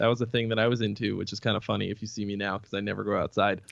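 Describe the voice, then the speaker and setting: This man talks at a very fast pace with an American accent. His fairly low voice carries vocal fry. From US Northeast, Boston suburbs. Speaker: metal guitarist and singer. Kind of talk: casual interview.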